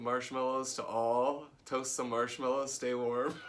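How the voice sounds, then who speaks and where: A man's medium-pitched, monotone, flat delivery at a very slow pace, with audible room echo. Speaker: yoga teacher. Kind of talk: casual chat.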